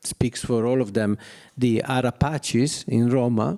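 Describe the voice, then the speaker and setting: A man with an Italian accent talks at a fairly slow pace in a dry, close sound with no echo. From Italy, Milan. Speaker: artist. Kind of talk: public talk. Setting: gallery with audience. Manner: halting.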